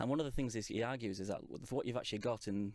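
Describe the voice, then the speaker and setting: Against a very clean, silent background, a man speaks very fast with fairly even intonation. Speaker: conference organizer. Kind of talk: casual chat. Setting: studio.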